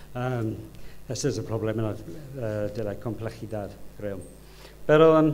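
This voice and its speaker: Here a man talks at a fairly slow pace with long, frequent pauses. His pitch is medium, and there is audible room echo. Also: ordinary pitch variation. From United Kingdom. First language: English (speaking Spanish). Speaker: design professor. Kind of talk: conference lecture. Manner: halting, many fillers.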